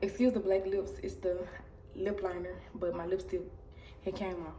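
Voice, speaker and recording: The speech moves at a moderate pace with fairly even intonation, over noticeable background noise and audible room echo. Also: woman. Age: 20s. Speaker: vlogger. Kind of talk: casual vlog talk.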